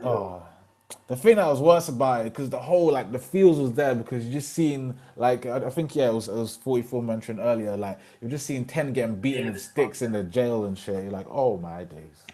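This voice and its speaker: A man's animated, medium-pitched voice in a British accent, fairly quick, with lively intonation, big swings in loudness and noticeable background noise. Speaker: podcast host. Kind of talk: casual chat.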